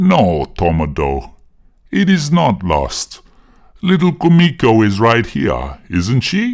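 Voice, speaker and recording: Soft-spoken and gentle in tone, a man uses a put-on character voice at medium pitch. He goes at a fairly slow pace with very wide pitch swings. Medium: read story. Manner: gentle, unhurried.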